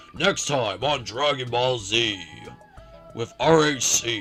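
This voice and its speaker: Over clear background music, a man uses a put-on character voice at a medium pitch and a fairly slow pace. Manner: dramatic, trailer-like.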